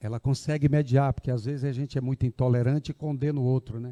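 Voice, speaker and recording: A man speaks in a Ceará accent at a medium pitch with a dark, mellow tone. His intonation is monotone and flat, in a dry, close sound with no echo. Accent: northeastern Brazilian Portuguese (Ceará). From Ceará, Brazil. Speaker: agricultural development foundation representative. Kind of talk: public speech at event. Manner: conversational, informal.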